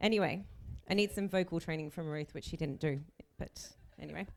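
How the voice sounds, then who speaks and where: A woman with an Australian accent talks with ordinary pitch variation. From Australia (Melbourne). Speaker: chief bridesmaid. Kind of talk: wedding speech. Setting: wedding reception with audience.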